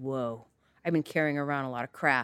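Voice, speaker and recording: The recording is very clean, with a silent background and a dry, close sound with no echo. A woman speaks in a Californian accent at a very deep, low pitch. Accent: Californian American English. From Northern California. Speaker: physician. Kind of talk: casual interview chat.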